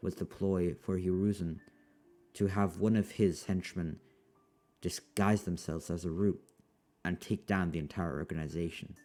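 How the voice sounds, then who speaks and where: Music plays in the background as the speaker moves at a moderate pace, broken by long, frequent pauses. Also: man. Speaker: fan fiction narrator. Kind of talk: story narration. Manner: casual.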